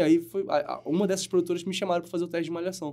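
This man's pitch is high. His tone is dark and mellow. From Brazil, Manaus. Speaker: actor. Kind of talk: casual chat.

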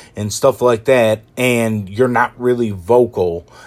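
A man at medium pitch speaks with an animated tone. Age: 30s. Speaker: podcaster with multiple sclerosis. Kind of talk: casual monologue rant.

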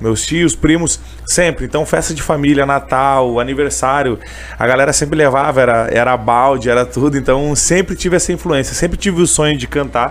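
There is noticeable background noise behind a man with a fairly high pitch. He speaks at a moderate pace with ordinary pitch variation. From Canoas, Rio Grande do Sul, Brazil. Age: 20s. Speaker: street vendor and gospel singer. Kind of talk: interview, casual chat. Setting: radio studio, live on YouTube.

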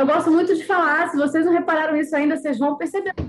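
Music plays in the background as a woman talks. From Bahia, Brazil (born in Rio). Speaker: writer and former model. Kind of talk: podcast interview.

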